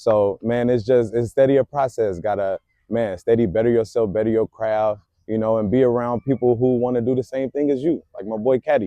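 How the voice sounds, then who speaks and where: A fairly quick pace with fairly even intonation. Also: man, medium pitch for a man. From Chicago South Side. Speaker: rapper. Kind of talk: podcast interview. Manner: casual, filler-heavy.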